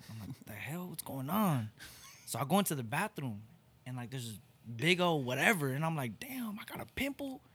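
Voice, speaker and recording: Using lively intonation, a man speaks at a moderate pace. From Torrance, Los Angeles County, California. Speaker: hip-hop artist. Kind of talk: casual chat. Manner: animated.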